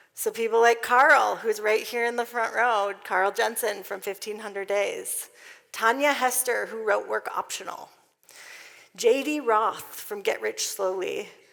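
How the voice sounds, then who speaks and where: A woman talks at a fairly slow pace in a plain, everyday voice. Her pitch is fairly high, with ordinary pitch variation. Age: 30s. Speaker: conference speaker, financial coach. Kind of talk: conference talk. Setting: stage with audience.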